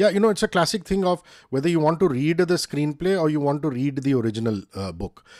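Against a quiet background, a man with an Indian accent talks very fast in a fairly high pitch with an animated tone. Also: lively intonation. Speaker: interviewer. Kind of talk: casual interview. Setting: video call. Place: home room. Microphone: studio mic.

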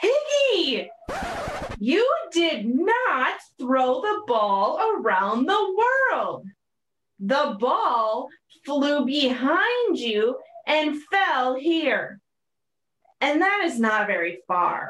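In a put-on character voice, the speaker talks very slowly at a high pitch, with very wide pitch swings and long, frequent pauses. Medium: read story.

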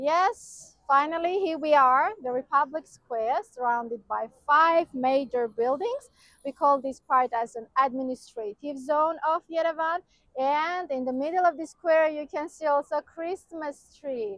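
A woman with an Armenian accent speaks fairly slowly at a high pitch, with ordinary pitch variation. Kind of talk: outdoor walking-tour commentary, pointing out landmarks to camera. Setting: outdoors, walking through city squares. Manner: enthusiastic, descriptive, loosely run-on phrasing; slightly halting non-native English with fillers.

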